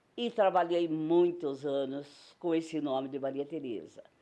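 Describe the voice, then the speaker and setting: A woman speaks at a fairly slow pace in a very deep, low voice with a dark, mellow tone. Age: old. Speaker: circus actress and singer. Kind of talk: interview testimony.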